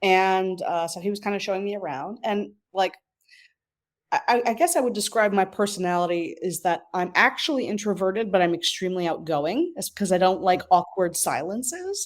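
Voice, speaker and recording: A woman speaks in a normal speaking voice with an American accent at a medium pitch. She holds a moderate pace with ordinary pitch variation. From New York, Westchester County. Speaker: marketing professional. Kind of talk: interview. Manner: many filler words.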